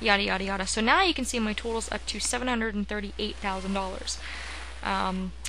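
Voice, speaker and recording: Noticeable background noise and audible room echo around a woman speaking fairly quickly. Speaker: gaming video creator. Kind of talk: let's play commentary. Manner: casual, filler-heavy.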